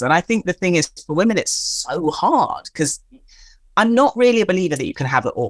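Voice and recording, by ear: In a dry, close sound with no echo, a woman talks at a fairly quick pace, her fairly low voice making big pitch swings.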